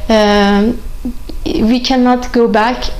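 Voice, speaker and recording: Faint music plays in the background as a voice with a Persian accent holds fairly even intonation. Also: woman. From Iran. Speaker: chess grandmaster. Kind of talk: interview answer. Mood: calm, earnest, reflective. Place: home room.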